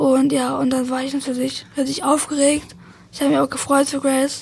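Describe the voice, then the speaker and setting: A woman with a high pitch talks at a fairly quick pace in a monotone, flat intonation, with noticeable background noise. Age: young, 18. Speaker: best friend of the deceased. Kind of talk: interview. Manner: halting, many fillers and repetitions.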